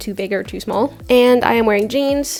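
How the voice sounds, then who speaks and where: Speaking in an American accent at a moderate pace, a woman has ordinary pitch variation over noticeable background noise. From Norway. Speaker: artist and video creator. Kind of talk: casual vlog chat. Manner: talkative, rambling pace.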